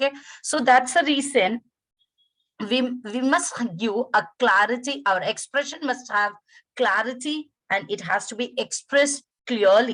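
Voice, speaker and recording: A woman with a high pitch and a Tamil accent speaks at a fairly slow pace, using lively intonation and long, frequent pauses. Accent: Indian (Tamil) English. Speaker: English lecturer. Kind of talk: webinar lecture. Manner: halting.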